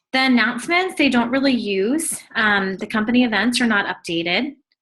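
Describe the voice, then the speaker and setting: Her voice is high-pitched with a bright, sharp tone. It's a very clean recording with a silent background. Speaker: sales trainer. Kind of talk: tutorial. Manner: fast.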